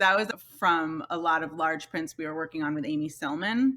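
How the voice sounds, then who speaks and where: The recording is very clean, with a silent background. A woman speaks at a very deep, low pitch with a bright, sharp tone. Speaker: master printer and print publisher. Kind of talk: interview. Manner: loud.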